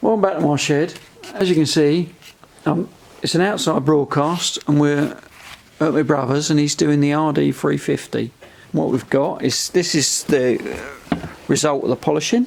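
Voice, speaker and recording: Mumbling at a moderate pace with long, frequent pauses, a man speaks in a fairly high pitch with ordinary pitch variation and very even loudness. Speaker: motorcycle restorer. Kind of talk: casual video walkthrough. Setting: outdoors at brother's place.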